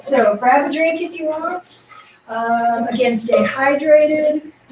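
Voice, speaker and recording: A woman with a high-pitched voice speaks at a very slow pace over noticeable background noise. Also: ordinary pitch variation. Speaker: tai chi instructor. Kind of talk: class instruction. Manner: loud, projecting voice; animated.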